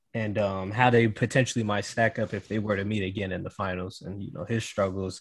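A man with an ordinary speaking voice and an American accent moves at a fairly quick pace with hardly any pauses and fairly even intonation. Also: fairly low pitch for a man. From Cleveland, Ohio. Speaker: student and podcaster. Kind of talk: casual chat.

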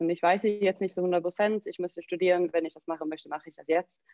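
A woman is speaking. Her pitch sits fairly low. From southern Sweden, near Malmö. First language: Swedish (speaking German). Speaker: CrossFit coach and gym owner. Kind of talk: interview.

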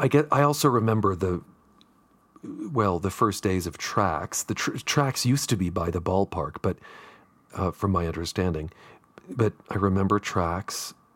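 A man with an American accent, a fairly low pitch, lively intonation and a moderate pace broken by long, frequent pauses, in a dry, close sound with no echo. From Southern California. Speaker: public radio journalist and host. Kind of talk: casual interview.

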